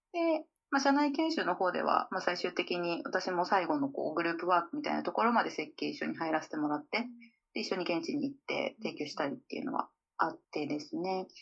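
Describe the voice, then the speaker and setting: Her pitch swinging very widely around a medium level, a woman speaks at a fairly quick pace. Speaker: calligrapher. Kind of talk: interview conversation. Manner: hesitant, with many fillers.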